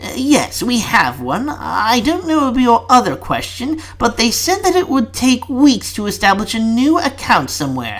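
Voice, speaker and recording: A man puts on a character voice at an extremely high pitch, talking at a moderate pace with hardly any pauses. Light noise sits in the background. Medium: read story. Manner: polite, deferential, addresses the minister as sir.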